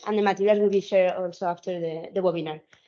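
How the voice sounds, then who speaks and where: This voice carries a Spanish accent and ordinary pitch variation. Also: woman. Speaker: sustainability consultant and trainer. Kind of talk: webinar lecture. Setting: video call webinar. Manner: halting, many repetitions.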